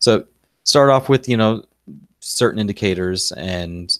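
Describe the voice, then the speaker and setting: This man talks with a Southern US accent and ordinary pitch variation. The recording is very clean, with a silent background. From Texas. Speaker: stock trading streamer. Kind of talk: live-stream trading tutorial. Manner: casual, conversational.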